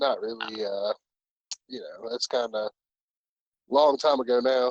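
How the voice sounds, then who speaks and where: Recorded dry and close with no echo, a man with an American accent speaks at medium pitch and a moderate pace with fairly even intonation. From Virginia, US. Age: 30s. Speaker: gaming clan co-owner. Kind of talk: casual chat.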